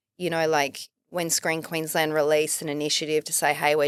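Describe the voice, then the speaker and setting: A woman speaks at a fairly quick pace with an Australian accent. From Melbourne, Australia. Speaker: filmmaker and writer. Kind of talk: casual interview chat.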